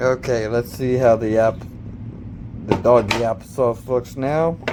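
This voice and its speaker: Through noticeable background noise, a man speaks very slowly at a medium pitch with fairly even intonation. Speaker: home cook. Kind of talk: cooking tutorial. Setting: home kitchen. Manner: casual.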